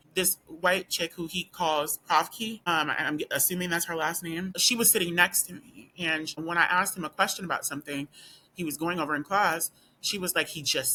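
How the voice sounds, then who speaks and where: A woman's fairly low, bright, sharp voice at a fairly quick pace. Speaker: law student and video blogger. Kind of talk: personal storytelling vlog.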